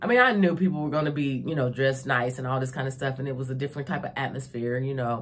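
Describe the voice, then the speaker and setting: In an animated tone, a woman speaks with a very deep, low voice. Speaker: vlogger. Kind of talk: casual chat. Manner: loud.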